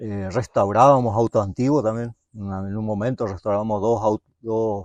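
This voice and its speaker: Against a quiet background, a man of medium pitch speaks at a fairly slow pace, the sound dry and close with no echo. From Misiones, northeast Argentina. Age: 60s. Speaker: mechanic, workshop owner. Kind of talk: interview, life story. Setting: at home. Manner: halting, many fillers.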